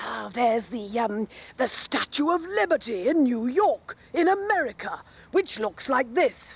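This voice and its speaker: A woman's high, cartoonish character voice. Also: moderate pace. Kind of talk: mock news report. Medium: puppet.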